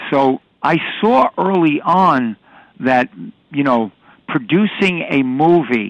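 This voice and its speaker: A man with a New York accent speaks at a fairly high pitch with lively intonation in a dry, close sound with no echo. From New York City. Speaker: retired police detective and film technical advisor. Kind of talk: interview. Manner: halting, with frequent fillers.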